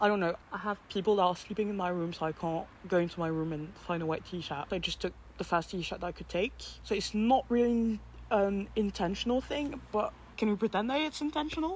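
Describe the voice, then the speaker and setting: Somewhat breathy, a woman talks at a fairly quick pace in a medium pitch with lively intonation. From France. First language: French. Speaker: podcast host. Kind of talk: casual monologue.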